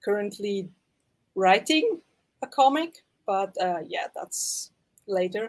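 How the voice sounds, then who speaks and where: In a Swiss German accent, the speaker goes very slowly, with long, frequent pauses and very wide pitch swings. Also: woman, medium pitch for a woman. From German-speaking Switzerland. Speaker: artist and cosplayer. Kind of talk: casual chat.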